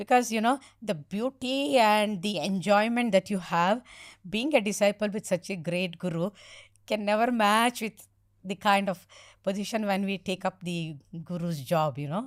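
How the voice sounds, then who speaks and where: With an ordinary speaking voice at a medium pitch, a woman talks at a moderate pace with ordinary pitch variation, in a very clean recording with a silent background and a dry, close sound with no echo. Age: 60s. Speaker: spiritual teacher. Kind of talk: podcast interview.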